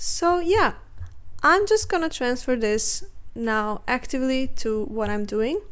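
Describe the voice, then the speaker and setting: This woman speaks with a non-native accent at a high pitch. Her pace is fairly slow, and her pitch swings very widely. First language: not English. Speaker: art youtuber. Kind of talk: casual chat while drawing. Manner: hesitant, many fillers.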